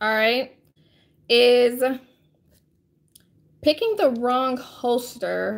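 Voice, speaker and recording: A woman speaks at a very slow pace in a fairly high pitch. Her intonation stays fairly even. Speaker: firearms instructor and live-stream host; firearms instructor, live-stream host. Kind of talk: live stream Q&A and tutorial. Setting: live online broadcast. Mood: friendly, calm advice. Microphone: phone near.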